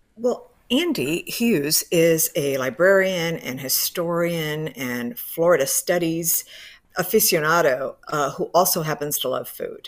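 On a very clean recording with a silent background, a woman with an American accent uses a normal speaking voice, fairly low in pitch, with lively intonation at a fairly slow pace. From Miami, Cuban American family. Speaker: professor. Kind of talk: radio interview.

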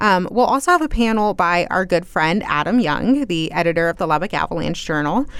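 A woman speaks at a fairly quick pace with hardly any pauses and lively intonation, her pitch fairly low. Noticeable background noise sits behind her. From Texas, South Plains. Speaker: news reporter. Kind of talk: radio interview. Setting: studio.

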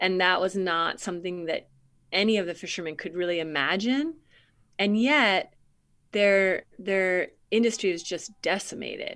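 With an American accent, a woman talks at a moderate pace and medium pitch. The background is quiet. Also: ordinary pitch variation. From coastal Maine, US. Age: 50s. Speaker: novelist. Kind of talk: interview. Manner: halting, many fillers.

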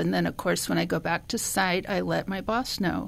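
Speaking at a moderate pace, a woman with a fairly low pitch and vocal fry is heard on a very clean recording against a silent background. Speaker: meal delivery volunteer. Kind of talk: radio interview.

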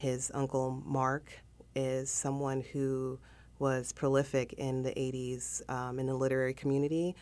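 The speaker has a Southern Californian accent and a dark, mellow tone. Delivery is fairly slow with monotone, flat intonation. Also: woman, very deep, low pitch for a woman. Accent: Southern California American. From South Central Los Angeles. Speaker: interview guest. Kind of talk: interview.

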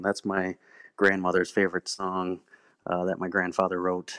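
A man with an American accent speaks at a moderate pace in a very deep, low voice with monotone, flat intonation. The sound is dry and close with no echo, and the background is quiet. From Rockford, Illinois (US Midwest). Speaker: musician, bandleader and singer. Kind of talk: casual interview. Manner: hesitant, many filler words.

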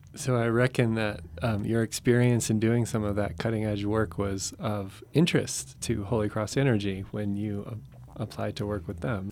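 Here is a man with an ordinary speaking voice and a fairly low pitch. He talks at a moderate pace with ordinary pitch variation. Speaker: college assistant dean and podcast co-host. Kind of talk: interview.

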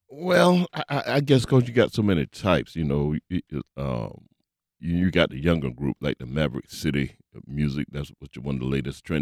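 The sound is dry and close, with no echo. The voice moves at a moderate pace with vocal fry. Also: man. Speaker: gospel radio host. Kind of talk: radio interview.

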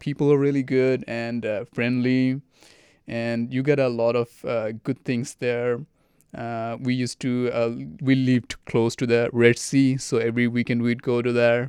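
Speaking at a fairly slow pace, a man keeps a medium pitch. His intonation is monotone and flat. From Bangladesh (Dhaka), early childhood in Saudi Arabia. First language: Bengali. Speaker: graduate student. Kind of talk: interview. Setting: recording booth. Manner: halting, with many fillers.

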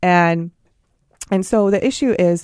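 In an American accent, a woman speaks at a fairly low pitch with a dark, mellow tone and fairly even intonation. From US mainland. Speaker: pharmaceutical marketplace startup founder. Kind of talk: radio interview.

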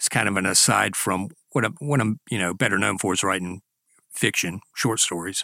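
Speaking at a moderate pace with vocal fry, a man is recorded very cleanly against a silent background, with a dry, close sound and no echo. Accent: South Carolina. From US South, Greenwood, South Carolina. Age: 60s. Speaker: author. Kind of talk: casual chat.

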